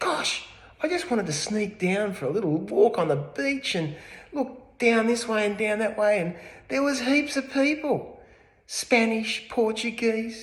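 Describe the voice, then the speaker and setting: Someone speaks with an Australian accent over noticeable background noise. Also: man. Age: 60s. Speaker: real estate agent. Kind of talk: mock self-interview, casual. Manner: hesitant, many fillers.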